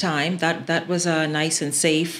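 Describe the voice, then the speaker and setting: A woman talks at a moderate pace with fairly even intonation and a fairly low pitch. Noticeable background noise runs underneath. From Bahamas. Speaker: broadcaster. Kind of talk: podcast interview.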